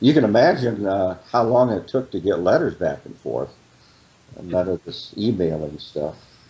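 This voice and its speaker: This man's intonation is lively. His voice carries vocal fry. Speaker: author. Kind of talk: interview. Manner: halting.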